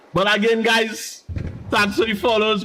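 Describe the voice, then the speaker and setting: Over noticeable background noise, a man speaks in an animated tone. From Trinidad and Tobago. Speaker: game streamer. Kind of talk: live gaming stream chat. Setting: live stream.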